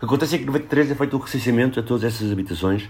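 Talking very fast, a man uses ordinary pitch variation in a somewhat breathy voice. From Portugal, Lisbon. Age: 40s. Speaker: social worker and urban researcher. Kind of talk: casual interview.

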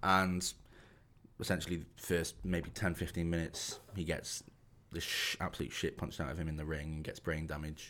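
In a very clean recording with a silent background, a man with a Shropshire accent speaks in a very deep, low pitch, his bright, sharp tone flat and monotone. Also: moderate pace. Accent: English Midlands (Shropshire). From England, Shropshire. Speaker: podcast co-host. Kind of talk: casual chat.

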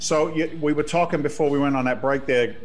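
Music plays in the background. Over it, a man speaks at a fairly high pitch. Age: 50s. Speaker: radio host. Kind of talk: radio talk show interview. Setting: radio studio.

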